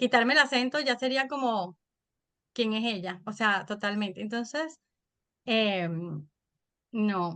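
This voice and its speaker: With a Venezuelan accent, the speaker goes at a very slow pace, leaving long, frequent pauses. The tone is bright and sharp, and the intonation lively. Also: woman, fairly high pitch for a woman. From Venezuela, Caracas. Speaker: podcaster and mother. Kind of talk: interview.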